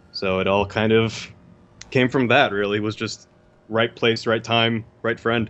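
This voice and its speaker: The speech comes at a fairly slow pace with a Californian accent and monotone, flat intonation. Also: man, medium pitch for a man. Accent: General American, Californian. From US West Coast (Los Angeles). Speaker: video editor. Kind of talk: casual interview.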